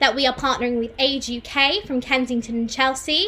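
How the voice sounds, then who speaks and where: A woman with a high pitch speaks in a raised, projected voice at a fairly quick pace. Her tone is upbeat, with noticeable background noise behind her. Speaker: co-founder of theatre company, live stream host. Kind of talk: live stream MC hosting.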